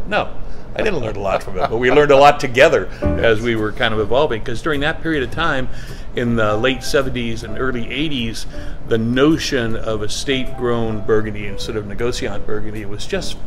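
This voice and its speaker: A man at a fairly quick pace with ordinary pitch variation, clear music in the background. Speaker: guest. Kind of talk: interview answer. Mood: relaxed, proud storytelling. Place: shop.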